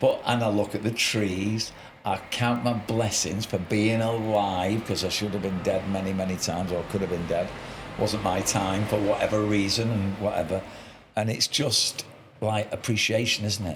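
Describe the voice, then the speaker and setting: A man with a Mancunian accent talks at a moderate pace in a fairly low, flat monotone over noticeable background noise. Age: 60s. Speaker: podcast host. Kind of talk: casual chat.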